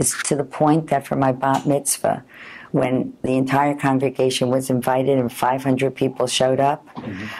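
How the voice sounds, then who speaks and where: With an American accent, a woman speaks at a moderate pace in a very deep, low pitch and a monotone, flat intonation. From Long Island, New York. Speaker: food columnist, cookbook author and lecturer. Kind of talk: oral history interview answer. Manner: conversational, reminiscing. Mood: warm, nostalgic. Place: home room.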